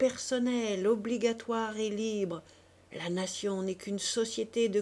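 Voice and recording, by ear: Someone reads aloud in a natural voice. Their intonation is fairly level.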